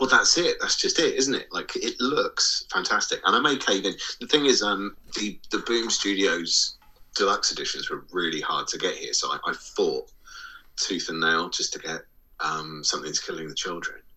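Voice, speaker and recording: An English accent marks this man's speech. He keeps a moderate pace. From England. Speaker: podcast co-host. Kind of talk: casual chat.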